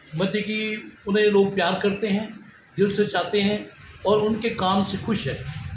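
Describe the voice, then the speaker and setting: Recorded with audible room echo and noticeable background noise, a man speaks at a high pitch. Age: old. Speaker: local party worker. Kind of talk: street interview. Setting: party election office.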